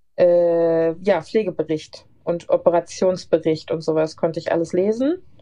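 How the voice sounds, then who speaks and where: In a plain, everyday voice, a woman speaks at a fairly slow pace with ordinary pitch variation. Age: 30s. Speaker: nurse. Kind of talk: casual interview. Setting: remote call.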